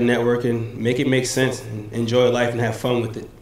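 Noticeable background noise sits behind this recording. A man talks fairly quickly at a medium pitch. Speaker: businessman and former college basketball player. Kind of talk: brief motivational message.

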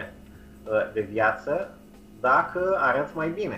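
Music plays in the background. Over it, a man talks with ordinary pitch variation. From Romania. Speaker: nutrition and change coach. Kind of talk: interview. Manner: halting.

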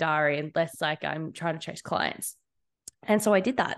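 At a moderate pace, a woman with an Australian accent talks in a fairly low pitch with fairly even intonation. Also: quiet background. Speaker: social media manager. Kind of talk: casual interview.

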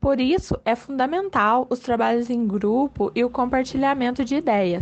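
A woman talks in a high pitch. Her loudness stays very even throughout. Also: ordinary pitch variation, fairly slow pace, hardly any pauses. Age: 20s. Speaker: sociology teacher. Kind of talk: reading aloud.

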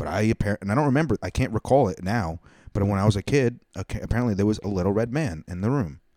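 Over a silent background in a very clean recording, a man talks very fast in a fairly low, dark, mellow tone, the sound dry and close with no echo. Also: ordinary pitch variation. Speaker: comedian and podcast host. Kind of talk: casual chat. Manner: loud.

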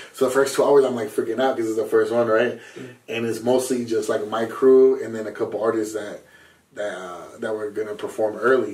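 Audible room echo surrounds a man of medium pitch speaking at a fairly quick pace in a flat monotone. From Southern California. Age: 20s. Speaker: rapper and music producer. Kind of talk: casual chat.

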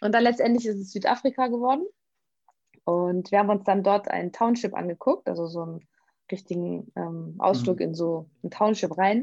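A woman's normal speaking voice at medium pitch, with ordinary pitch variation and a moderate pace over a quiet background. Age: 30s. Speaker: vegan nutrition coach. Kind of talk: interview.

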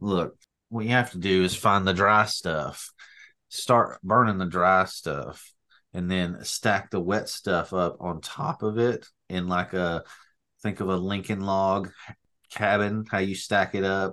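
A man with an Appalachian accent talks at a fairly slow pace, his pitch fairly low. His tone is bright and sharp over a quiet background. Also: fairly even intonation. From North Alabama. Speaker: podcast co-host. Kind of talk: casual chat.

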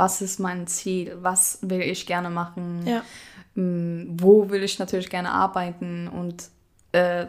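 Very slowly and in a monotone, flat intonation, a woman speaks with a fairly low pitch. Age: 20s. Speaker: apprentice baker. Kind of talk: casual interview chat.

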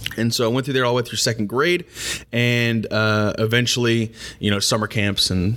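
Speaking in an ordinary speaking voice with an American accent, a man keeps a moderate pace, medium pitch and ordinary pitch variation. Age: 20s. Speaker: podcast host. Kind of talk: casual interview.

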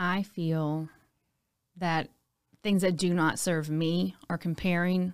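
A woman with an American accent speaks at a fairly slow pace in a fairly low, monotone, flat voice. The recording is very clean, with a silent background. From Louisiana, Baton Rouge. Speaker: hairstylist and fitness instructor. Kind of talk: casual chat.

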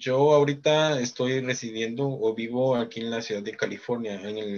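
Very slowly and with fairly even intonation, a man speaks in a Guatemalan accent. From Guatemala, Chichicastenango, Quiché. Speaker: project founder and live stream host. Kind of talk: live social media stream chat. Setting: live Facebook broadcast.

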